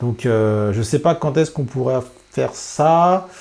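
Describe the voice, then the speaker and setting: A man speaks with lively intonation. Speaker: FPV drone youtuber. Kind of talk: casual vlog talk to camera. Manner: hesitant, many fillers.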